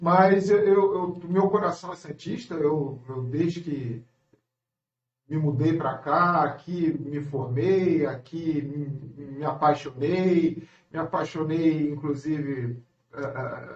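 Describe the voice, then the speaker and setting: A man talks at a very slow pace in a strong Rio de Janeiro accent. His pitch is fairly high, with ordinary variation. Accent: strong carioca. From Brazil, Rio de Janeiro. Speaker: engineer. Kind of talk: radio interview. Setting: radio studio. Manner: halting, repeats words.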